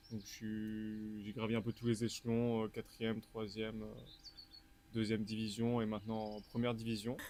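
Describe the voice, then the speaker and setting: A man speaks at a moderate pace in a fairly low pitch. His tone is dark and mellow, with monotone, flat intonation. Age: 20s. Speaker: water polo player. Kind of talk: casual interview.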